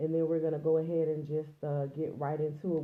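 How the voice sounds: A woman with a low pitch speaks amid audible room echo.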